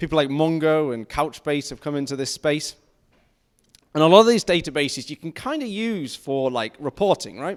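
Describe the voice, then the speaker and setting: With a northern English accent, a man speaks at a moderate pace in a fairly high voice, with lively intonation and big swings in loudness. The recording is very clean, with a silent background. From northern England. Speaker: tech conference speaker. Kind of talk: technical talk. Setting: stage with audience.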